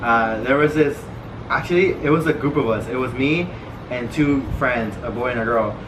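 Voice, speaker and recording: A man with a Spanish accent talks at a moderate pace amid audible room echo and noticeable background noise. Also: medium pitch for a man, ordinary pitch variation. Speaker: vlogger. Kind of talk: casual chat.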